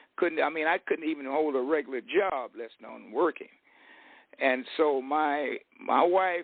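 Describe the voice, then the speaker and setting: A man with an American accent has a normal speaking voice. It sits fairly high in pitch, and he talks at a fairly slow pace. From US West, Fresno, California. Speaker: retired real estate and business speaker. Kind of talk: interview on online radio show. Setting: online radio show.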